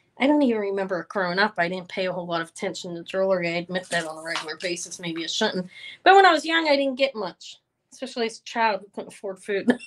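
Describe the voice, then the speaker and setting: The speech moves at a very fast pace with lively intonation and big swings in loudness. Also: woman, medium pitch for a woman. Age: 50s. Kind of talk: live-stream sales show. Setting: live video stream. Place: home room. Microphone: phone near.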